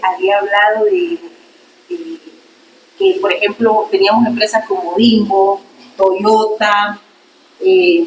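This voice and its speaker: A woman speaks at a fairly high pitch with very wide pitch swings and long, frequent pauses at a very slow pace. Noticeable background noise is present. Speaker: law professor. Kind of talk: lecture. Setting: classroom.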